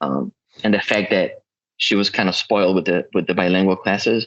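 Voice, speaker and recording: With a slight Spanish accent, a man speaks at a fairly quick pace. His pitch is fairly low. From South America (Chile/Peru), moved to US as child. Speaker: podcast guest. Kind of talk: casual chat.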